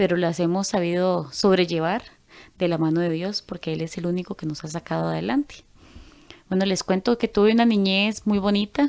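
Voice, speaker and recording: Recorded very cleanly with a silent background, a woman uses a plain, everyday voice at medium pitch, with ordinary pitch variation and a moderate pace. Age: 30s. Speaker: church group member. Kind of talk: testimony.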